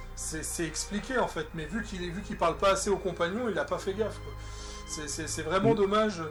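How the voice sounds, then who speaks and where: Music plays in the background as a man talks at a fairly quick pace. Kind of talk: casual game review talk. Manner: stutters.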